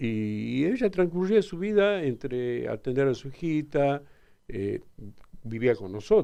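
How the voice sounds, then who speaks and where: A man with a Tucumán accent, fairly high in pitch with very wide pitch swings, a dark, mellow tone, big swings in loudness and a fairly slow pace. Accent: Tucumán Argentine Spanish. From Argentina, Tucumán (Alderete). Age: 70s. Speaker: father of a crime victim, interviewee. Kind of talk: radio interview.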